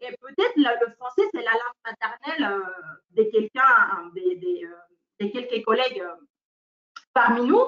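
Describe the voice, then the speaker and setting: With a non-native accent, a woman speaks at a fairly slow pace using lively intonation. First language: not French (speaking French). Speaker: teacher trainer. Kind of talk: webinar training. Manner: hesitant, many fillers.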